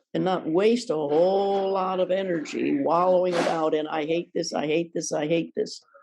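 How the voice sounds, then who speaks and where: A woman speaks at a medium pitch. Her tone is dark and mellow. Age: 80s+. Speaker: Zen priest and teacher. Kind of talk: dharma talk. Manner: conversational, informal.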